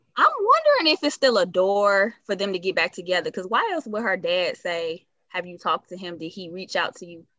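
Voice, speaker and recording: Speaking at a moderate pace, a woman with a medium pitch uses ordinary pitch variation in a normal speaking voice. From Chicago. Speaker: podcast guest. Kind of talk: casual chat.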